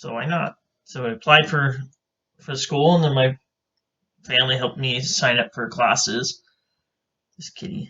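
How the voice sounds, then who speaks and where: This man talks at a moderate pace with a medium pitch, ordinary pitch variation, big swings in loudness, and long, frequent pauses. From Idaho, US. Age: 20s. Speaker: podcast co-host. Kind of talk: casual chat. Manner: hesitant, with fillers.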